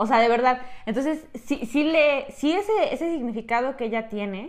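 A woman speaks at a moderate pace and a fairly high pitch. Hers is an unremarkable speaking voice, with ordinary pitch variation. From Mexico, Tlaxcala. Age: 20s. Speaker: podcast host, cosmetologist. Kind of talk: casual chat. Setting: small room, seated together.

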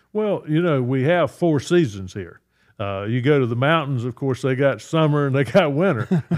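The speaker has a North Carolina accent. The pace is moderate and the intonation lively. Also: man, fairly high pitch for a man. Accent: US Southern (North Carolina). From North Carolina, Richmond County. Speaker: state senator. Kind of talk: interview. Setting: studio. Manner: halting.

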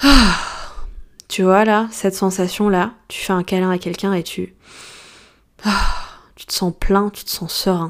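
A woman's medium-pitched voice at a very slow pace, with big swings in loudness and long, frequent pauses. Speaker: life coach and astrologer podcaster. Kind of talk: solo podcast monologue. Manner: deadpan; casual.

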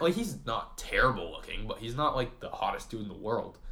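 With an American accent, the speaker talks at a fairly quick pace over noticeable background noise. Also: man. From US Northeast, Vermont. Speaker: college student podcast co-host. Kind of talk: casual chat. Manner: animated.

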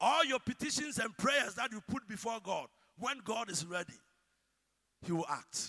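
A man with a Ghanaian accent uses a raised, projected voice at an extremely high pitch, bright and sharp in tone, with lively intonation, a moderate pace, and long, frequent pauses. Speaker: preacher. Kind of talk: sermon.

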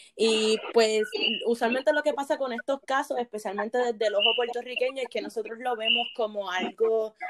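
Fairly even in intonation, an unremarkable speaking voice proceeds at a moderate pace. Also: woman, dry, close sound with no echo. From Puerto Rico, Bayamón. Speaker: doctoral student in religion. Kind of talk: panel discussion.

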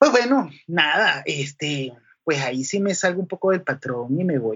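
At a moderate pace, a man with a fairly high pitch and lively intonation speaks in an ordinary speaking voice. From Venezuela, Caracas and the llanos (Guárico). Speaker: sound engineer. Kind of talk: interview.

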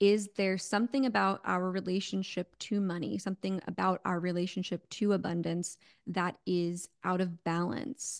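A woman with an American accent speaks at medium pitch and a moderate pace in a plain, everyday voice, her intonation fairly even and her words coming with hardly any pauses, the sound dry and close with no echo over a quiet background. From New York suburbs and Connecticut. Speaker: spiritual coach and intuitive. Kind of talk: interview conversation.

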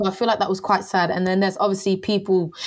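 The pace is fast. There is little pitch movement. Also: woman, medium pitch for a woman.

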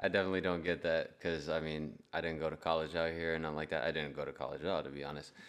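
Very fast and with hardly any pauses, a man speaks in a very deep, low pitch with monotone, flat intonation. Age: 20s. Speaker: podcast co-host, beer reviewer. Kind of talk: casual chat.

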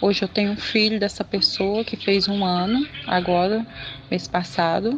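A medium-pitched woman talks with fairly even intonation as noticeable background noise carries on behind her. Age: 30s. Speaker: listener asking for relationship advice. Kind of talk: recorded personal question.

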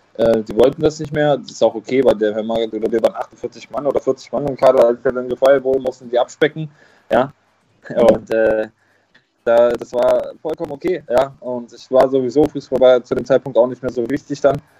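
With a dark, mellow tone, a man talks in fairly even intonation. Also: medium pitch for a man, moderate pace. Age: 20s. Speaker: former professional footballer. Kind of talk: interview.

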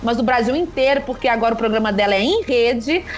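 There is noticeable background noise behind a woman speaking at a high pitch. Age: 30s. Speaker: podcast host. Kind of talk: casual chat.

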